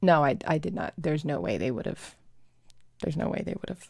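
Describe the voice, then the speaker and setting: The recording is very clean, with a silent background. A woman speaks in a dark, mellow tone with vocal fry and ordinary pitch variation. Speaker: live streamer. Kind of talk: casual chat. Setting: live stream. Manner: loud.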